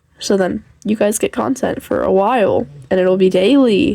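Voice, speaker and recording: At a moderate pace, a woman speaks through noticeable background noise. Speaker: fanfiction podfic reader and author. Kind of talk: reading aloud fanfiction; casual chat intro.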